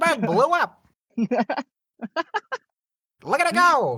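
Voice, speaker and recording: The voice is high-pitched. It is a put-on character voice. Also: moderate pace. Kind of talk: old-timey announcer. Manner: excited sports or news announcing.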